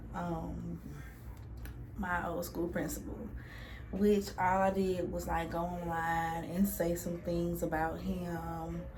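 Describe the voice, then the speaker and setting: A woman with a Louisiana accent talks at a very slow pace, with audible room echo and noticeable background noise. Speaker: beauty vlogger. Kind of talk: casual chat.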